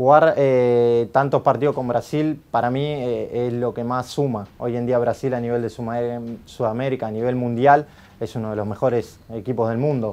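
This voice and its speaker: This man's tone is dark and mellow. He talks at a fairly slow pace with monotone, flat intonation. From Argentina. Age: 30s. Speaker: futsal coach; futsal team coach. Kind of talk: interview answers. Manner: halting, many fillers. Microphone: lapel.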